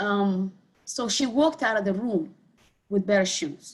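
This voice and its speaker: A woman with a Somali accent speaks at a moderate pace and medium pitch, somewhat breathy, with ordinary pitch variation. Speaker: community health advocate, clinic board member. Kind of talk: panel discussion.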